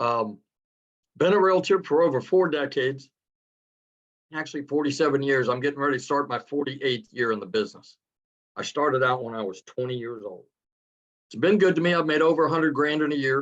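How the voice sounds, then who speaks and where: Speaking at a fairly quick pace with long, frequent pauses, a man uses a fairly high pitch and ordinary pitch variation. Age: 60s. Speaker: realtor. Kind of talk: testimony.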